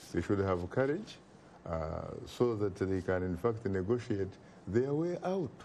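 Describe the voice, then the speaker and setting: Spoken with an African accent, the voice has a dark, mellow tone, lively intonation and a fairly slow pace. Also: man, fairly low pitch for a man. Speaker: talk show host and political commentator. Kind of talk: TV talk show discussion. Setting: TV studio.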